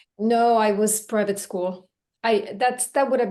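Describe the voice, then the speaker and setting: This woman speaks with a Swedish accent at a moderate pace. Her pitch is fairly high. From Belgium (Brussels), Finnish-Swedish family. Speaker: language teacher. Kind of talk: casual chat. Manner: halting, repeats words.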